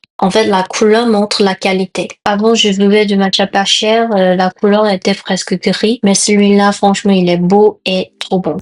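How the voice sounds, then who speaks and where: A woman with a Korean accent at a medium pitch, fairly slow and nearly pauseless, monotone and flat, very even in loudness, in a dry, close sound with no echo. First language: Korean (speaking French). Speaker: lifestyle vlogger and food content creator. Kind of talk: vlog voiceover. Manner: halting non-native phrasing.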